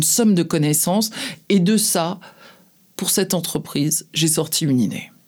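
Speaking at a fairly slow pace, a woman uses a fairly low voice with ordinary pitch variation. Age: 50s. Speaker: advertising agency head. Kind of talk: interview. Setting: studio. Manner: halting.

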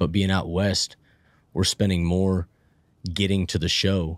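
This man's pitch sits very deep and low. He talks at a moderate pace. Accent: American. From Northern California (Plumas County). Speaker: country singer-songwriter. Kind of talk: casual chat.

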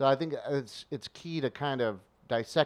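A man speaks with an ordinary speaking voice at a fairly slow pace with ordinary pitch variation, the sound dry and close with no echo against a quiet background. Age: 40s. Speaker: sports commentator. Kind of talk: casual chat. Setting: video call.

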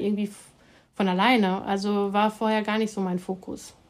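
A woman's normal speaking voice, fairly high in pitch, at a fairly quick pace. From Germany, Hamm (Westphalia). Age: 40s. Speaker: professor of Islamic theology. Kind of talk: interview, expert explanation.

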